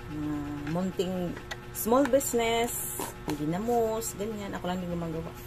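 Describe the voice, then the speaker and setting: A woman's fairly low voice with lively intonation at a fairly slow pace, music in the background and audible room echo. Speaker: vlogger. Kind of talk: casual vlog chat.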